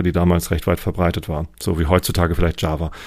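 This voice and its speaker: Speaking fairly quickly, a man with a very deep, low voice keeps a monotone, flat intonation. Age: 40s. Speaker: engineering manager. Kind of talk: interview.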